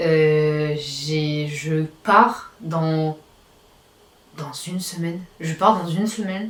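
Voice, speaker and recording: Against noticeable background noise, a woman speaks with a fairly low pitch and fairly even intonation. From Réunion. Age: 20s. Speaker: vlogger. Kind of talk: personal video diary. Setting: at home, nearly empty apartment. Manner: hesitant, many fillers.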